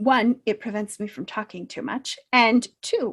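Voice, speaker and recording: Woman with an American accent, ordinary pitch variation and a fairly slow pace, in a dry, close sound with no echo and a very clean recording with a silent background. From southern California. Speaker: self-improvement coach. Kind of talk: pre-recorded talk to camera. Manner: hesitant fillers.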